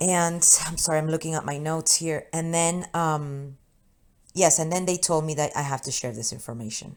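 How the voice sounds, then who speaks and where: A woman with a Spanish accent speaks at a moderate pace in a very deep, low voice with fairly even intonation, on a very clean recording with a silent background. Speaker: spiritual channeler. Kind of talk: spiritual message monologue. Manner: halting.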